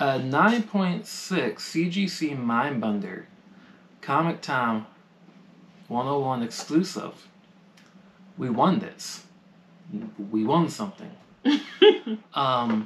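A man speaks at a very slow pace with very wide pitch swings and a somewhat breathy voice. Long, frequent pauses break up his speech over light background noise. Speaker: comic channel co-host. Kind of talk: casual vlog chat. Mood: cheerful, excited about win. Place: home room.

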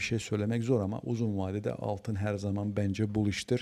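A man speaks in a fairly low pitch with a dark, mellow tone. His intonation stays fairly even. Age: 40s. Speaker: trading educator. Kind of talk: market analysis tutorial. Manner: casual with frequent fillers.

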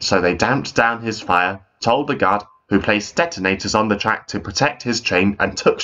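A passage read aloud plainly.

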